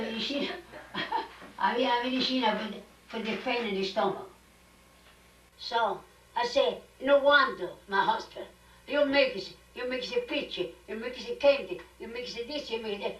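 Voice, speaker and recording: A woman's high-pitched voice at a moderate pace, with lively intonation, big swings in loudness, long and frequent pauses, and noticeable background noise. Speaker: grandmother and immigrant. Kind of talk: family storytelling at dinner.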